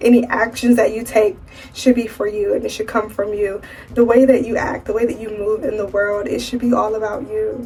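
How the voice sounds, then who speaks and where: Noticeable background noise under a woman's fairly high-pitched speech. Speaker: lifestyle vlogger. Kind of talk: casual vlog monologue.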